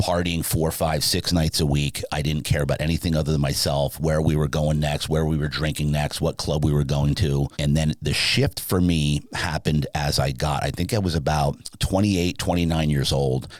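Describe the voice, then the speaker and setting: A man's very deep, low voice in a New Jersey accent, animated in tone, at a moderate pace with hardly any pauses and very even loudness, over noticeable background noise. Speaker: sleep business owner. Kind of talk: podcast interview.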